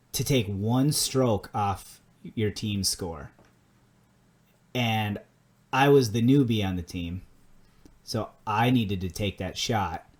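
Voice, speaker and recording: In a very clean recording with a silent background, a man with a strong Minnesota accent speaks at a very slow pace in a fairly low voice, with ordinary pitch variation and long, frequent pauses. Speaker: podcast co-host. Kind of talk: casual chat.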